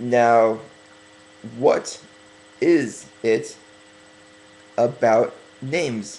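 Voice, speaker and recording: Over noticeable background noise, a man speaks at a very slow pace with ordinary pitch variation and long, frequent pauses. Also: medium pitch for a man. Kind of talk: religious sermon, Torah commentary. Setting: webcam. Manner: slow, deliberate.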